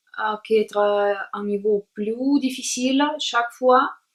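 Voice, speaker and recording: A woman with a Russian accent, fairly high-pitched, speaking at a very slow pace with fairly even intonation. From Latvia, Jelgava. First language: Russian (speaking French). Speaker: language learner vlogger. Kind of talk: personal monologue to camera. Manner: halting, many hesitations.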